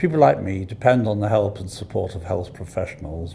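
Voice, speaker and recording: In a British accent, a man speaks at a moderate pace in a fairly low, somewhat breathy voice with lively intonation. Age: 70s. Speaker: patient. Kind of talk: testimony.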